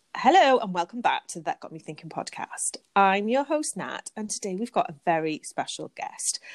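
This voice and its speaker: In a British accent, a woman speaks at a medium pitch with very wide pitch swings, and the sound is dry and close with no echo. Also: very clean recording, silent background. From UK. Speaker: podcast host. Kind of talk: casual interview chat; scripted narration.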